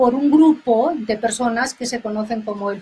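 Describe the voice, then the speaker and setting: In a Catalan accent, a woman speaks at a fairly high pitch. Her pace is moderate and her intonation fairly even. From Catalonia, Spain. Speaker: historian, professor. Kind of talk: radio interview. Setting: radio studio.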